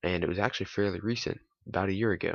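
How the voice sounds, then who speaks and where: A man speaks quietly at a fairly quick pace. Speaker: YouTuber. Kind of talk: casual vlog monologue, partly reading from notes. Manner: quiet, held-back delivery; hesitant with many fillers.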